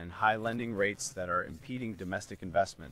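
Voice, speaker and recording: Speaking at a fairly quick pace, a man with a fairly low pitch shows ordinary pitch variation in a dry recording with no echo. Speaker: guest. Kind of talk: interview answer. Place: office. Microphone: studio mic.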